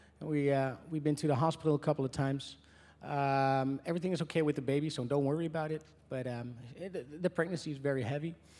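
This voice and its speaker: A man at a fairly quick pace with an American accent. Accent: American-sounding English. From Netherlands. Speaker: country singer. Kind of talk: press conference Q&A. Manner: hesitant, many fillers.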